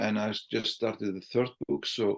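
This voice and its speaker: A man with an Icelandic accent speaks at a fairly slow pace. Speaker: sales trainer and author. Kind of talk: podcast interview. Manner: halting, repeats words.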